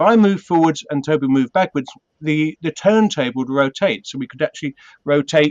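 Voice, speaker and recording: A man with a British accent, fairly high-pitched and lively in intonation, speaking at a fairly quick pace with a dry, close sound and no echo. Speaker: puppeteer. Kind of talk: interview. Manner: hesitant, many fillers.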